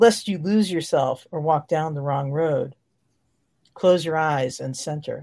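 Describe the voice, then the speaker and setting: A woman speaks at a very deep, low pitch in a calm, soothing tone that is dark and mellow. Her pitch variation is ordinary, over a quiet background. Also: fairly slow pace. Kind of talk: guided meditation. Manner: slow, calm, soothing, measured.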